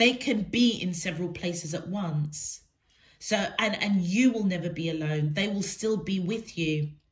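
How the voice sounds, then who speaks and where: Her voice is somewhat breathy. The woman's pitch varies in an ordinary way. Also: medium pitch for a woman, moderate pace. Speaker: tarot reader. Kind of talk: tarot reading for viewers. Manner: hesitant, many fillers. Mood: warm, gentle, reassuring. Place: home room. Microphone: phone near.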